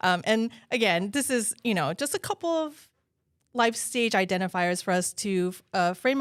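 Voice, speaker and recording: A woman talks in a plain, everyday voice with lively intonation at a moderate pace. The recording is very clean, with a silent background. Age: 40s. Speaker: development manager, co-host. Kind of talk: casual panel chat on live stream. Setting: live stream.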